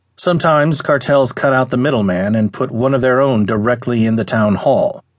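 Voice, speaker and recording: Over a quiet background, a man in a normal speaking voice talks at medium pitch and a moderate pace, with ordinary pitch variation. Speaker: audiobook narrator. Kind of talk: audiobook news article reading.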